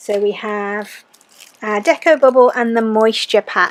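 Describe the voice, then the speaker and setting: A woman's voice over noticeable background noise. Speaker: balloon artist. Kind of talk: craft tutorial voiceover.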